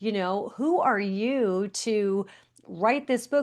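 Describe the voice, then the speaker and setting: Lively intonation in an unremarkable speaking voice with an American accent, against a quiet background. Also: woman. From Long Island, New York. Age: 60s. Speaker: author and motivational speaker. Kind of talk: podcast interview.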